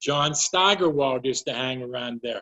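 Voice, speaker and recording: Here a man speaks with a Western Pennsylvania accent. His pace is moderate. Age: 70s. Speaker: sports writer. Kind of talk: recorded talk for virtual fundraising event.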